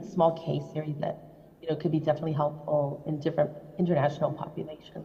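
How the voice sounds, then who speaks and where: A woman with a very deep, low voice and vocal fry speaks amid audible room echo. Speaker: invited rheumatology speaker. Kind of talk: conference Q&A answer. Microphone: echo on the line.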